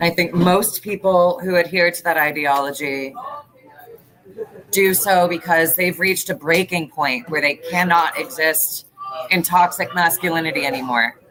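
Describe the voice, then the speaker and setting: Against noticeable background noise, a woman speaks at a moderate pace in a fairly low pitch. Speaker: interviewee, actor. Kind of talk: interview testimony.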